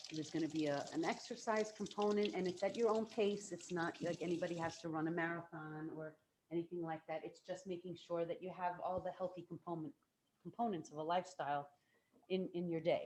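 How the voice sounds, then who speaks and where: Soft-spoken delivery at a fairly quick pace. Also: woman. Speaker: plant-based chef and cooking instructor. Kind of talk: cooking demonstration. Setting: video call.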